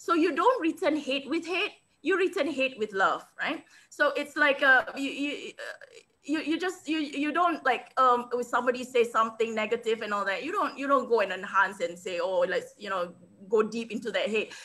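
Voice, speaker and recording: In a raised, projected voice with a bright, sharp tone, a woman speaks high and at a moderate pace with very wide pitch swings. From Singapore. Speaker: international speaker and business coach. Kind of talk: interview. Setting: video call. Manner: animated.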